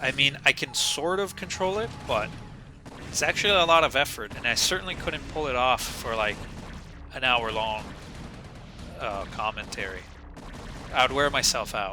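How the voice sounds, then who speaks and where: Over noticeable background noise, a man with a fairly high voice speaks with very wide pitch swings and long, frequent pauses. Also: moderate pace. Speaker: game commentator. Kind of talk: live game commentary. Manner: casual, self-interrupting.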